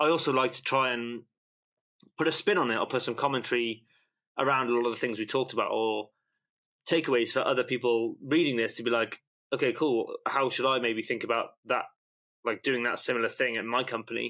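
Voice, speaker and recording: Recorded very cleanly against a silent background, a man with a British accent talks at a fairly quick pace and a medium pitch, with a bright, sharp tone, fairly even intonation, and long, frequent pauses. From UK. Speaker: newsletter founder and investor. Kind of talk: podcast interview. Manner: rambling, loosely structured speech.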